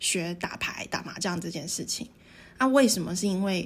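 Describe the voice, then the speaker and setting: A woman of medium pitch speaks with lively intonation. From Taiwan, Tainan. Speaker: podcast co-host. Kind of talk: casual chat.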